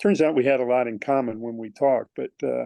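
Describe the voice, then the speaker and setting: Here a man speaks at a medium pitch. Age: 60s. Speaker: long-distance hiker. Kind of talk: casual interview chat. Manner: halting, many fillers.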